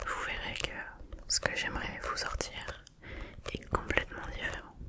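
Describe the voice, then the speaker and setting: A woman whispers in a gentle tone at a very slow pace. Noticeable background noise can be heard. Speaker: ASMR creator. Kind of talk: ASMR relaxation talk to camera. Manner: soft, gentle, whispery.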